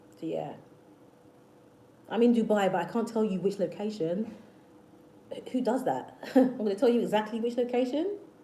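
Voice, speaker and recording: A woman with a British accent speaks at a fairly high pitch and a moderate pace, with ordinary pitch variation and long, frequent pauses. Noticeable background noise and audible room echo are present. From South London, England. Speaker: manifestation youtuber. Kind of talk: livestream chat with viewers. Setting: live stream. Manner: repetitive, hesitant restarts.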